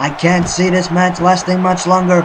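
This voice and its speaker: Noticeable background noise sits under the recording. A man talks over it at a moderate pace. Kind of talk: sports commentary. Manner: play-by-play commentary.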